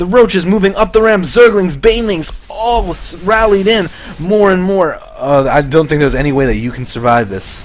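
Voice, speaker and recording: Over noticeable background noise, a high-pitched man talks with hardly any pauses and very wide pitch swings. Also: moderate pace. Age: 20s. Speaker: esports caster. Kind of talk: live commentary. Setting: live stream. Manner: animated.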